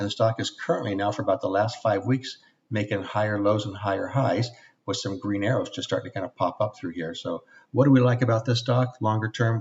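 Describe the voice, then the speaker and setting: A man talks at a fairly quick pace in a fairly low pitch. His voice is somewhat breathy and his intonation fairly even. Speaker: trading instructor. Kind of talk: website tour webinar. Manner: fast.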